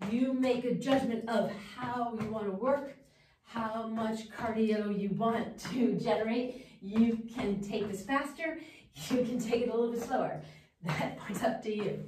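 A woman speaks at a fairly slow pace. Noticeable background noise and audible room echo are present. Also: fairly even intonation. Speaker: fitness instructor. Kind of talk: workout instruction. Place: gym. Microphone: camera far.

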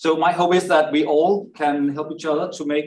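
The speaker moves at a moderate pace with fairly even intonation. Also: man. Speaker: panel moderator. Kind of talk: panel moderation. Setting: stage with audience. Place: hall.

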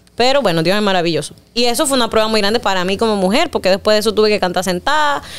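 A woman is speaking. She has a strong Panamanian accent. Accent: Panamanian rural accent, strong. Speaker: singer; interviewee. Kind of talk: interview. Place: studio. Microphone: studio mic.

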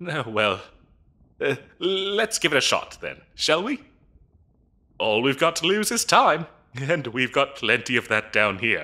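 A man uses a put-on character voice with a bright, sharp tone at medium pitch. He moves at a fairly slow pace with big pitch swings.

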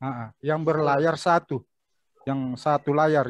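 In a normal speaking voice, a man talks at a fairly high pitch and a fairly slow pace with fairly even intonation, the sound dry with no echo. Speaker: local history speaker; speaker. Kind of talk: online panel discussion; interview answer. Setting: video call. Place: home room. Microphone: webcam.

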